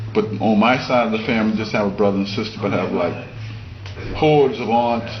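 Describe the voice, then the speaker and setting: A man with an American accent speaks at medium pitch amid noticeable background noise and audible room echo. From South Carolina (Rock Hill), then New York City from age 11. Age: 80s. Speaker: photographer. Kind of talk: interview.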